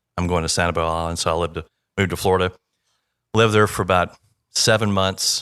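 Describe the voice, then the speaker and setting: A man with an American accent, very deep, low pitch, monotone, flat intonation and a very fast pace, on a very clean recording with a silent background. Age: 60s. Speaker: flooring company founder. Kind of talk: podcast interview. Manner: casual, conversational.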